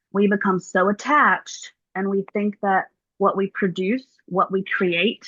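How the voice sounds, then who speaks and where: With a Southern accent, a woman speaks at a medium pitch and a fairly slow pace. Her intonation stays fairly even. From US South, Mississippi. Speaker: yoga teacher. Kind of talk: casual interview chat.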